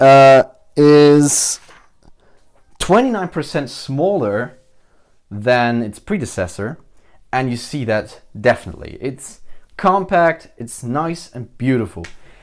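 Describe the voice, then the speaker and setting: Very slow and full of long, frequent pauses, a man with a German accent speaks at a fairly high pitch with very wide pitch swings and big swings in loudness, on a very clean recording with a silent background. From Germany. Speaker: tech reviewer. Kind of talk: product review. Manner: halting.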